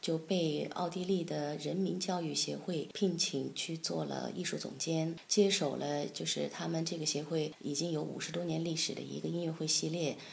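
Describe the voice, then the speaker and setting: A woman talks at a moderate pace with hardly any pauses. Audible echo from the room surrounds her voice. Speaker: concert pianist and piano professor. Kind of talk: interview. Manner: hesitant, many fillers.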